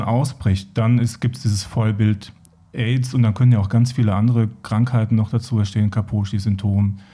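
A man with a medium pitch and a dark, mellow tone speaks at a moderate pace and very even loudness. His voice is somewhat breathy, with monotone, flat intonation. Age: 40s. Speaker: HIV/AIDS support worker. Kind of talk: podcast interview.

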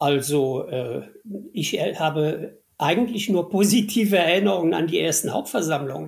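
A man's high-pitched voice shows ordinary pitch variation and moves at a moderate pace. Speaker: former company CEO and state minister. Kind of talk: interview.

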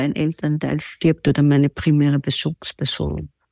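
A woman with a dark, mellow tone speaks at a moderate pace, the sound dry and close with no echo in a very clean recording with a silent background. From Austria, Vienna. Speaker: relationship coach. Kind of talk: interview.

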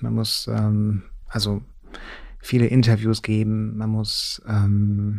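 A man with a fairly low pitch and a dark, mellow tone, very slow pace and monotone, flat intonation, in a very clean recording with a silent background. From eastern Germany. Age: 40s. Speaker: author. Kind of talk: interview.

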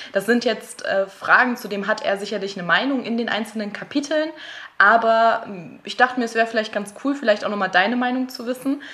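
Her tone bright and sharp, a woman speaks at a fairly high pitch with ordinary pitch variation. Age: 20s. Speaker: host's girlfriend, guest interviewer. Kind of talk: casual chat.

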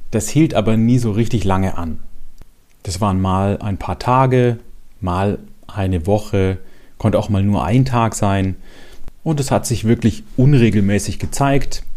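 Long, frequent pauses mark the fairly slow pace of this dark, mellow voice. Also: man, fairly low pitch for a man, ordinary pitch variation. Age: 40s. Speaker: podcast host sharing personal depression story. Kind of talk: personal testimony monologue.

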